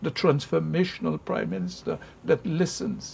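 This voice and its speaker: With vocal fry and lively intonation, a man talks at a moderate pace. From Saint Lucia. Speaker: interviewer. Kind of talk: interview.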